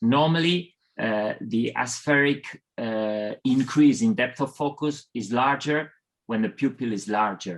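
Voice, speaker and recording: The man speaks at a fairly slow pace. His pitch varies in an ordinary way. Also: medium pitch for a man. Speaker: eye surgeon. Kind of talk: webinar panel discussion.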